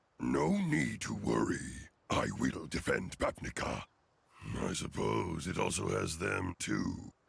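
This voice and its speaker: Putting on a character voice, a man talks at a fairly slow pace in a raspy, very deep, low pitch. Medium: video game. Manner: gracious, measured.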